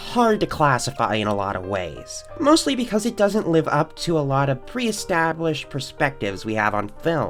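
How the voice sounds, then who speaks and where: A woman with a fairly low pitch and very wide pitch swings, at a moderate pace, music playing in the background. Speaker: film reviewer. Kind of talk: video essay film review.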